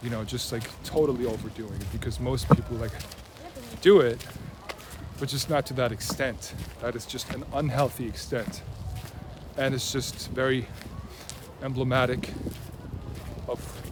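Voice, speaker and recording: With a slight non-native accent, a man at a medium pitch talks at a moderate pace with ordinary pitch variation and long, frequent pauses, amid audible room echo and noticeable background noise. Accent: slightly American-tinged non-native English. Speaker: mentor and video creator. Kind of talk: casual personal monologue. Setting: outdoors in a park. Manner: hesitant, many fillers and restarts.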